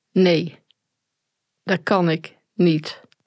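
A woman's fairly low-pitched voice. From Netherlands, Tilburg area (North Brabant). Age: 40s. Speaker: survivor and perpetrator of domestic violence. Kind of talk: personal testimony interview. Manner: halting, many hesitations.

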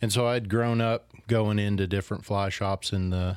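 On a very clean recording with a silent background, a man with an American accent speaks at a moderate pace in a fairly low, monotone voice with flat intonation. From far northern California. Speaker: fly shop owner. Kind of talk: casual chat. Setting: sitting at a home over a beer.

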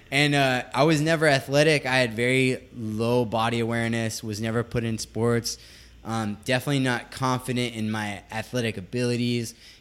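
At a moderate pace, a man with a medium pitch speaks in an unremarkable speaking voice with fairly even intonation. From West Virginia / California (moved back and forth). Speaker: yoga teacher and podcast co-host. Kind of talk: casual chat.

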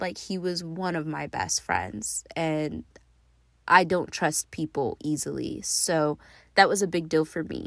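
A woman with a normal speaking voice and a fairly low pitch talks at a fairly slow pace with ordinary pitch variation, recorded very cleanly against a silent background. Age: 30s. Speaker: podcast host. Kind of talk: personal storytelling monologue.

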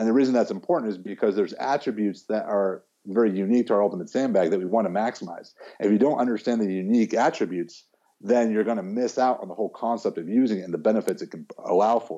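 A man with an American accent talks at a very fast pace in a fairly low pitch. His tone is dark and mellow, and his pitch varies in an ordinary way. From US Midwest, Chicago. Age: 40s. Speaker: strength coach. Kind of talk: casual chat.

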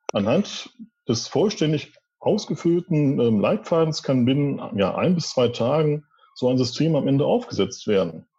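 A man's dark, mellow, somewhat breathy voice, fairly high in pitch, at a fairly slow pace with very wide pitch swings and very even loudness. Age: 40s. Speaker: department head at a wholesale company. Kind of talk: interview. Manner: formal.

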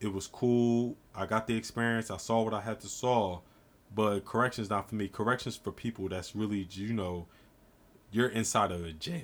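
This man has an ordinary speaking voice. His pitch is fairly low and his pace moderate. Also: fairly even intonation. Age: 20s. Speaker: podcast guest. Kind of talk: casual chat.

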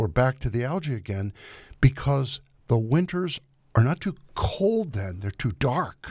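On a very clean recording with a silent background, a somewhat breathy man with an American accent speaks fairly slowly at medium pitch, his pitch swinging very widely. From Ohio, US Midwest. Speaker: ecology professor. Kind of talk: interview.

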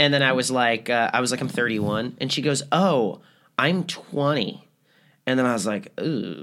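Here a man speaks at a fairly slow pace with a medium pitch. His tone is bright and sharp. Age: 30s. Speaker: podcast co-host. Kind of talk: casual chat. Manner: animated.

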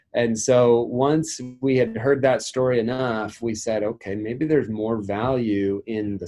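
A normal speaking voice with an American accent. Its pitch varies in an ordinary way. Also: man. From US Midwest / West (South Dakota, Oregon). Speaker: tech startup founder. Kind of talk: casual interview.

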